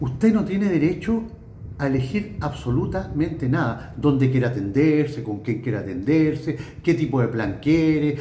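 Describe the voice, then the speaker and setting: With light background noise and audible room echo, a man speaks at a moderate pace. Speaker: political commentator. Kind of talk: political commentary monologue. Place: home room. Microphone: phone near.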